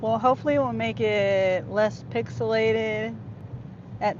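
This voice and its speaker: A woman talks at a fairly slow pace with a very deep, low pitch. Audible room echo surrounds her voice. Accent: American. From California. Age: 50s. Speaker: gig-driver vlogger. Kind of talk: live-stream chat with viewers while driving. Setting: in a car. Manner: halting.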